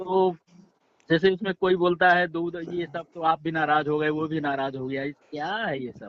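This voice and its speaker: Here is an ordinary speaking voice: a man with fairly high pitch at a moderate pace. His intonation stays fairly even while his loudness swings a lot. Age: 60s. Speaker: caller, dairy farmer. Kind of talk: phone-in debate. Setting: phone call.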